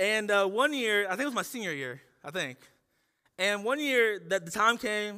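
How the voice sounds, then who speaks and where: A man with an American accent speaks in a high, bright, sharp voice at a moderate pace. His voice is raised and projected, with lively intonation. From Ohio, US Midwest. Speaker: pastor. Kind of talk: sermon. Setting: church.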